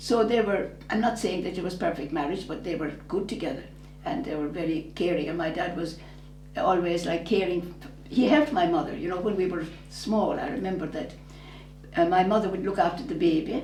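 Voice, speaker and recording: There is audible room echo and noticeable background noise as a woman speaks at a fairly quick pace. Her pitch is fairly low and her intonation lively. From southern Ireland, rural. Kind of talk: interview about her life. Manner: halting, with false starts.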